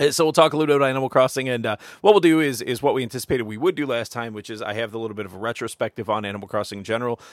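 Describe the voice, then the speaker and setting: A man with ordinary pitch variation, on a very clean recording with a silent background, dry and close with no echo. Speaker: podcast host. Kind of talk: casual chat. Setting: studio.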